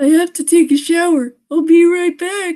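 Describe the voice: A squeaky, put-on character voice from a woman, extremely high in pitch, at a moderate pace with fairly even intonation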